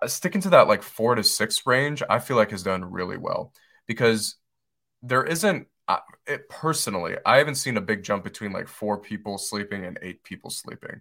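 A man with an American accent at medium pitch, bright and sharp in tone, lively intonation, big swings in loudness, moderate pace, very clean recording with a silent background. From Detroit, Michigan. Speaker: real estate investor. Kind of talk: interview. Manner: hesitant, many fillers.

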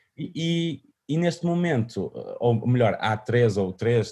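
Somewhat breathy, a man speaks in a dark, mellow tone with very wide pitch swings. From northern Portugal, Vila Nova de Famalicão. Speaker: musician. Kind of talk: interview. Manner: halting, many repetitions and fillers.

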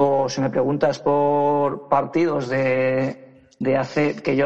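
A man talks in an ordinary speaking voice. His pitch is fairly high, with fairly even intonation. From Badalona, Catalonia, Spain. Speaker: youth basketball coach. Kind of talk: interview.

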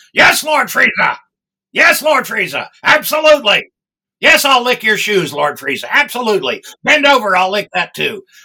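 Shouting loudly in a put-on character voice, a man hits an extremely high pitch with very wide pitch swings at a moderate pace. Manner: loud yelling, servile.

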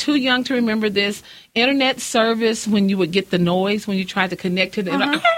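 A woman with an American accent talks at a fairly quick pace with a medium pitch and lively intonation. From West Texas (Odessa/Midland). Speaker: president of a local political women's club. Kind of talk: casual interview.

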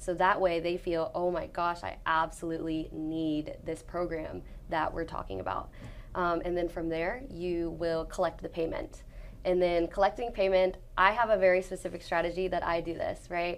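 In a plain, everyday voice, a woman speaks at a moderate pace with a fairly low pitch. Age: 20s. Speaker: sales closer and trainer. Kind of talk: interview.

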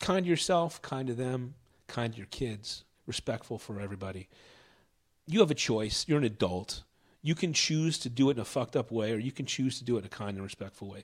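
In a normal speaking voice with an American accent, the speaker goes at a fairly quick pace with lively intonation and big swings in loudness, on a very clean recording with a silent background. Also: man, medium pitch for a man. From Philadelphia, US. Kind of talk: casual chat. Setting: at home.

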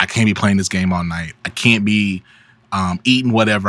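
The man's pitch moves in an ordinary way. He talks at a fairly quick pace. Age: 30s. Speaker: media company founder and business consultant. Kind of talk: casual chat.

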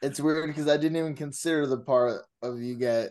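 Fairly quick in pace, a man speaks in an unremarkable speaking voice with fairly high pitch. His pitch variation is ordinary, and the background is quiet. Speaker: podcast co-host. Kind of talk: casual chat.

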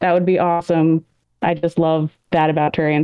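This woman's voice sits fairly low in pitch and stays monotone and flat. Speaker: patron chat participant. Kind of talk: casual group chat. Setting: live video chat.

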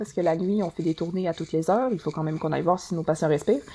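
A woman speaks with a dark, mellow tone and fairly low pitch. Her intonation is fairly even. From France. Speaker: friend guest. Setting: video call.

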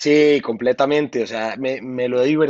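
An unremarkable speaking voice from a man, fairly high in pitch with fairly even intonation. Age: 30s. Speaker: music producer and singer. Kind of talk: interview.

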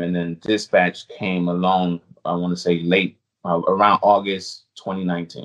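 A man speaks at a fairly slow pace with a very deep, low pitch. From U.S. Virgin Islands. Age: 30s. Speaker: food delivery driver and YouTuber. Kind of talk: casual interview chat.

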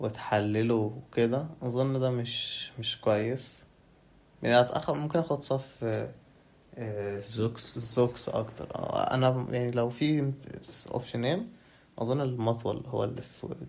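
A soft-spoken, somewhat breathy man talks at a fairly slow pace with medium pitch and fairly even intonation. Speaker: podcast guest, university student. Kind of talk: casual chat.

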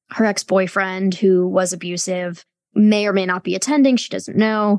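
A woman has an ordinary speaking voice at medium pitch and a moderate pace. The sound is dry and close, with no echo. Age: 30s. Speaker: author and sex and culture critic. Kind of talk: casual interview conversation.

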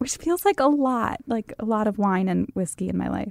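Recorded with a dry, close sound and no echo, a woman speaks in a plain, everyday voice at a medium pitch and a moderate pace. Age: 30s. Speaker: podcast host. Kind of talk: casual chat. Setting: studio.

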